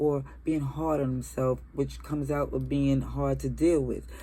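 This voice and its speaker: Audible room echo is present. A woman speaks at a fairly slow pace. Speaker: tarot reader. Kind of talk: tarot reading. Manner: stumbling over words.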